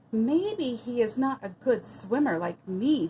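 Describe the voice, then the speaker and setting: A woman's shaky, put-on character voice, high-pitched with very wide pitch swings, at a fairly slow pace. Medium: read story. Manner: fearful, trembling.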